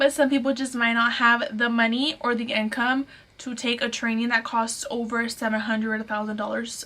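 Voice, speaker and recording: The delivery is monotone and flat at a moderate pace. Background noise is noticeable. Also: woman. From Fort Worth, Texas. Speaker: lash artist and trainer. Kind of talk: casual talk to camera.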